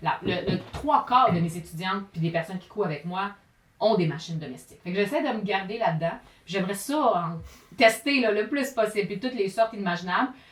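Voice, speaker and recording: Lively intonation marks this woman's speech. Her pitch is medium and her pace fairly quick. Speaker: sewing teacher and YouTuber. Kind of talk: casual interview.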